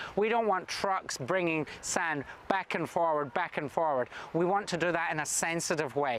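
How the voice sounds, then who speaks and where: Fairly high-pitched male voice with a Scottish accent, ordinary pitch variation and a moderate pace over noticeable background noise. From Scotland. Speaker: government minister. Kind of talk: prepared video address.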